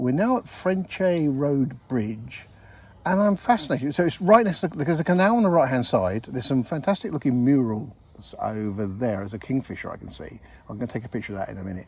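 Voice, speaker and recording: Very fast and somewhat breathy, the voice swings widely in both pitch and loudness. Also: man. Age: 60s. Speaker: podcast co-host. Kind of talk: casual chat. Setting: outdoors.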